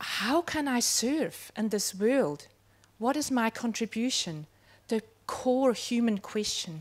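A woman speaks at a very slow pace. Her intonation is lively. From Switzerland. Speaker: educator. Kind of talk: panel discussion. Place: tent. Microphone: handheld.

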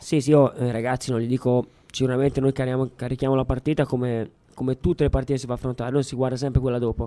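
A man's dark, mellow voice at a very fast pace, monotone with flat intonation. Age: 20s. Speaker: youth football coach. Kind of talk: radio interview. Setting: studio. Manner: laughs often. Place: studio.

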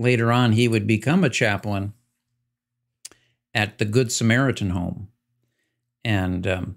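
Against a quiet background, a man speaks at a moderate pace with fairly low pitch and fairly even intonation. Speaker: pastor. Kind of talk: livestream announcement before a Bible study. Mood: somber, sharing sad news. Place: office.

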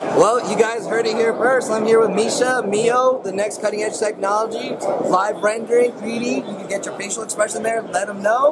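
A man speaks at a moderate pace with a high pitch. Clear background noise and clear crowd noise fill the background. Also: fairly even intonation.

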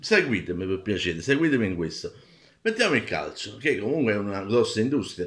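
The intonation is lively. It belongs to a man. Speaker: video blogger. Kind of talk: angry rant, indignant opinion monologue. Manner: indignant, emphatic, ranting; halting, with frequent fillers and restarts. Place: home room. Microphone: phone near.

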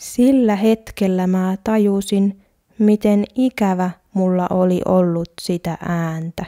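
Very slowly, a woman speaks in a medium pitch with a dark, mellow tone and fairly even intonation, the sound dry and close with no echo on a very clean recording with a silent background. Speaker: Finnish language teacher. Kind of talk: language-learning monologue. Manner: slow and clear.

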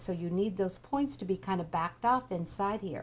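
In an American accent, a woman with an ordinary speaking voice talks at a moderate pace and medium pitch with ordinary pitch variation. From Kansas. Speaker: quilting teacher. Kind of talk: tutorial. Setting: live webinar.

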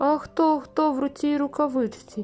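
The speaker uses a put-on character voice at a moderate pace. Faint music plays in the background. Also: woman. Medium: read story.

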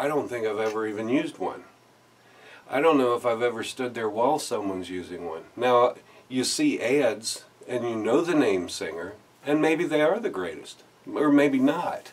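A man at a moderate pace with lively intonation. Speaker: activist vlogger. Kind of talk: casual vlog commentary. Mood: earnest, persuasive. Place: home room.

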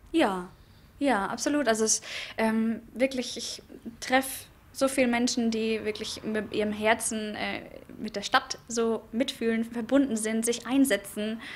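This woman has a fairly high pitch. She talks at a fairly slow pace with fairly even intonation. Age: young. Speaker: board member of a voters' association. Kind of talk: press interview. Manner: hesitant, many fillers. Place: hall. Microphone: handheld.

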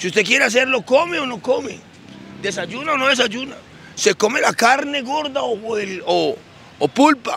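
In a dry sound with no echo and light background noise, a man uses a raised, projected voice at an extremely high pitch, with lively intonation and a moderate pace. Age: old. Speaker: theologian. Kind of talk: religious teaching talk. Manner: halting, repeats words. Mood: earnest, mildly aggrieved. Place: street. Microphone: handheld.

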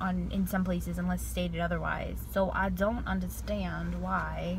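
A woman speaks at a moderate pace against loud background noise, the sound dry with no echo. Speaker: vlogger. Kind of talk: casual vlog chat. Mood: chatty, mildly annoyed. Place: car. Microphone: phone near.

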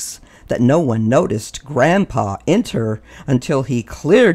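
The voice reads aloud naturally, its intonation lively.

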